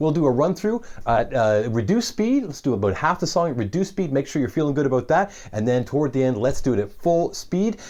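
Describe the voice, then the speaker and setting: A man talking very fast in a fairly high voice, against a quiet background. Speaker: guitar teacher. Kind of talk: tutorial. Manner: animated.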